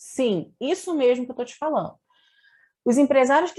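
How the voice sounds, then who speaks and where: A woman speaks against a quiet background. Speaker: integrative therapist and physiotherapist. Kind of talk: online lecture with slides.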